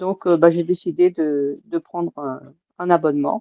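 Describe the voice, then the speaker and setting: This woman has a fairly low voice and fairly even intonation. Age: 60s. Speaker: weight-loss surgery patient. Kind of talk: testimony. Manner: halting, many hesitations.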